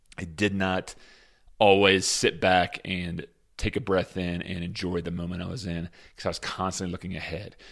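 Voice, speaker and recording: At a moderate pace, a man with a very deep, low pitch speaks in a flat monotone, in a very clean recording with a silent background. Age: 40s. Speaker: podcast host, former high school basketball player. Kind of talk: solo advice talk. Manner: casual, many fillers.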